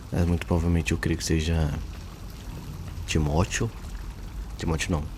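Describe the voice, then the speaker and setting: A man is whispering. He goes at a moderate pace. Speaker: gaming youtuber commenting on theology. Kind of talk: casual gameplay commentary. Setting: at home at night. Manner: halting.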